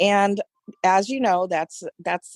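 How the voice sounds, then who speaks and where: A plain, everyday voice from a woman with an American accent, fairly slow, with ordinary pitch variation. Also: dry, close sound with no echo. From United States. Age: 60s. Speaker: substitute teacher. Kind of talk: casual interview chat.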